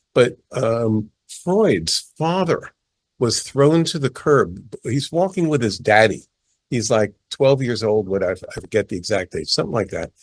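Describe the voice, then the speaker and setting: Recorded in a dry, close sound with no echo, a man with a New York accent speaks at a fairly slow pace with lively intonation. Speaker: palmist, author. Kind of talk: interview. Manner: animated.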